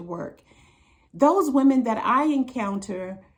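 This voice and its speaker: A woman with an American accent sounds somewhat breathy and uses lively intonation. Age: 60s. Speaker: relationship advice vlogger. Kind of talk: monologue to camera.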